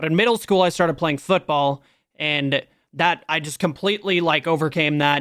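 An unremarkable speaking voice from a man, fairly high in pitch with ordinary variation, at a moderate pace. The sound is dry and close with no echo, on a very clean recording with a silent background. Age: 20s. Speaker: Twitch streamer. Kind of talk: casual chat.

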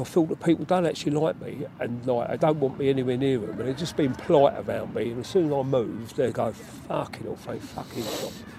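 Lively intonation marks an ordinary speaking voice that moves at a fairly quick speed. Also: man. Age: 60s. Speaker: mental health worker and army veteran. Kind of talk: casual interview.

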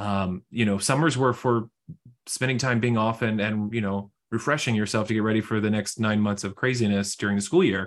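A plain, everyday voice from a man with an American accent, fairly low in pitch, at a fairly quick pace over a quiet background. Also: fairly even intonation. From Houston, Texas. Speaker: financial advisor. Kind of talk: casual interview.

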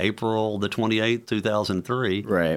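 A man with a Tennessee accent speaks at a fairly low pitch with fairly even intonation. The recording is very clean, with a silent background. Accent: Southern US (Tennessee). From Memphis, Tennessee (US South), born in Louisiana. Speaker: entrepreneur and author. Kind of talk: interview.

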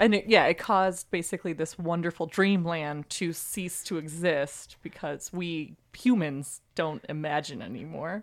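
A woman with an unremarkable speaking voice talks at a fairly slow pace with hardly any pauses, her pitch fairly low and its variation ordinary. The recording is very clean, with a silent background. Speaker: guest on a podcast. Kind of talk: casual chat.

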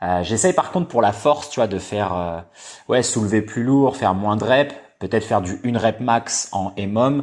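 Using an ordinary speaking voice, a man talks at a moderate pace. His medium-pitched voice has lively intonation. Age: 20s. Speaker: podcast host and movement coach. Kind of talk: casual chat.

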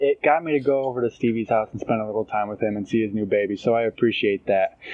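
Over noticeable background noise, a man talks at a fairly quick pace, the sound dry and close with no echo. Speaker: podcast co-host. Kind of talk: casual chat.

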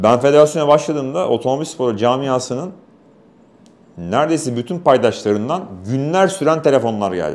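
Speaking at a moderate pace and medium pitch, a man uses lively intonation. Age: 40s. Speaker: motorsport official and race commentator. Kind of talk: casual interview. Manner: talkative.

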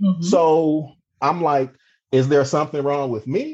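A man with an American accent, fairly high pitch and a dark, mellow tone, heard against a quiet background. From Cleveland, Ohio. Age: 40s. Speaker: police officer. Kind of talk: interview storytelling.

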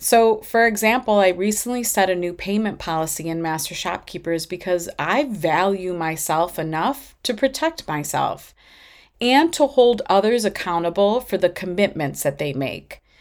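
A woman with a plain, everyday voice at medium pitch, moderate pace and lively intonation, on a very clean recording with a silent background. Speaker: podcast host and retail business owner. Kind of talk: solo podcast monologue with business advice.

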